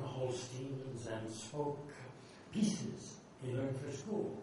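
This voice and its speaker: At a fairly slow pace, a man with an American accent speaks over noticeable background noise. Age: 80s+. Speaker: poet. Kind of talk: poetry reading.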